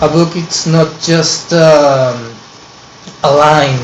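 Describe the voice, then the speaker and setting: A man with a Peruvian accent talks at a fairly high pitch with fairly even intonation. Audible room echo and noticeable background noise surround him. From Peru, Lima. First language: Spanish. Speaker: online course student. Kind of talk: personal presentation to camera. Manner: halting, many fillers.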